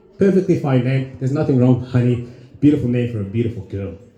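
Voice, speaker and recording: Audible room echo surrounds a man speaking at a very fast pace. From Zimbabwe. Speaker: stand-up comedian. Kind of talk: stand-up. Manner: halting, many repeated words.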